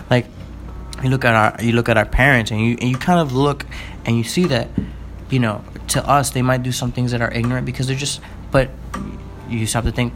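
Against music in the background, a man with a medium pitch and an animated tone talks at a very fast pace yet leaves long, frequent pauses. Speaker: podcast co-host. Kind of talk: casual banter chat. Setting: recording at home. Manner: animated, joking, rambling.

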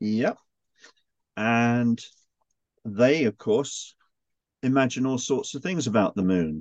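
Over a quiet background, a man with a medium pitch and lively intonation speaks at a very slow pace, the sound dry and close with no echo. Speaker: author and historical interpreter. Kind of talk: casual interview chat.

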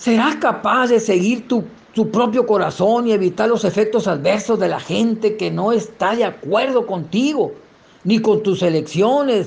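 A man with a high voice talks at a fairly slow pace with ordinary pitch variation and very even loudness. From Mexico, Sinaloa (rural sierra). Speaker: lay preacher giving testimony. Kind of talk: testimony and sermon.

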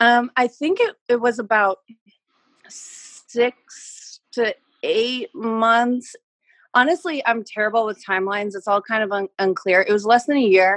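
In a dry, close recording with no echo, a woman with an unremarkable speaking voice talks at a fairly slow pace, her pitch fairly high and her pitch variation ordinary. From Canada. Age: 20s. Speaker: personal trainer. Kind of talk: casual chat. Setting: video call.

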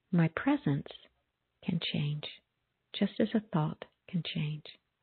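A soothing tone with ordinary pitch variation. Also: woman. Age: 50s. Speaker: prayer radio host, spiritual minister. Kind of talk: call-in conversation; guided prayer and meditation. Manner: slow, soothing.

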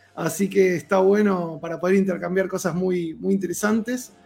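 Music plays in the background as a man speaks at a moderate pace. His pitch is high. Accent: Argentine. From Argentina. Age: 40s. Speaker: cosplayer. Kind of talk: casual chat.

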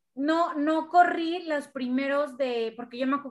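A woman's high-pitched voice. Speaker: podcast host and racing driver. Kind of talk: casual interview chat.

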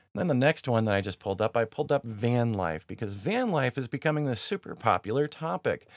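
A man with a medium-pitched, normal speaking voice talks at a fairly quick pace with lively intonation and hardly any pauses, on a very clean recording with a silent background. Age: 40s. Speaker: podcast host and YouTuber. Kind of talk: solo podcast monologue. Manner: casual, with frequent fillers.

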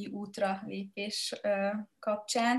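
A woman speaks in a monotone, with flat intonation throughout. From Hungary, Mátraalja village. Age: 30s. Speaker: entrepreneur and podcaster. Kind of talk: casual chat.

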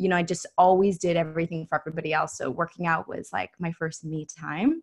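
A woman talks at a fairly quick pace in an unremarkable speaking voice with a fairly low pitch. The background is quiet. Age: 20s. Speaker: online health and mindset coach, retired bikini pro. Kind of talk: casual interview.

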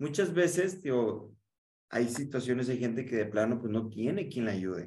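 A man with a Mexican accent at a medium pitch and moderate pace, animated in tone with lively intonation, in audible room echo. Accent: Mexican Spanish (Jalisco). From Mexico, Guadalajara. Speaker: podcast host and communication coach. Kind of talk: casual interview chat.

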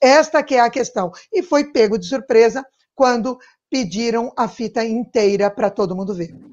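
The background here is quiet. A woman talks with lively intonation. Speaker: political activist. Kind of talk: live-streamed political panel chat. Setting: live stream.

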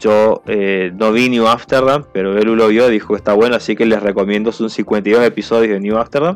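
This man has a normal speaking voice, fairly low in pitch, moving at a moderate pace with fairly even intonation and hardly any pauses. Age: 30s. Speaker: radio host. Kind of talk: casual chat.

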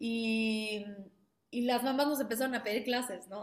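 This woman's voice sits fairly high. She speaks at a moderate pace. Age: 30s. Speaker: ballet school founder and director. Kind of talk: interview. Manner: halting.

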